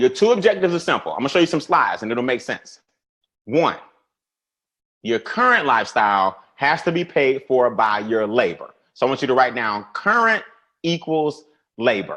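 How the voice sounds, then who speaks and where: Bright and sharp in tone, a man speaks at a fairly high pitch in an animated way, with very wide pitch swings. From US South. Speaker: financial educator. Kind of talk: webinar presentation. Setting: online webinar. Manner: fast.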